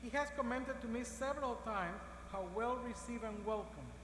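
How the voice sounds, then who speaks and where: A woman's fairly high, fairly quick voice with an Cuban accent, fairly even intonation, audible room echo and noticeable background noise. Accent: Cuban Spanish accent (joked as southern). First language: Spanish. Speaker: university system president. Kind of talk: ceremonial speech. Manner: formal.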